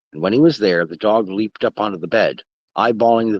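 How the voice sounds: Against a quiet background, fairly even intonation carries a natural reading voice.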